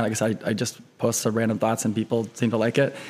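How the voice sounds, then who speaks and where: Monotone and flat in intonation, a man rattles on at a very fast pace. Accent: American. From US Midwest, eastern Iowa (Cedar Rapids). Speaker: pharmacy student and former cancer researcher. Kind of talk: casual interview.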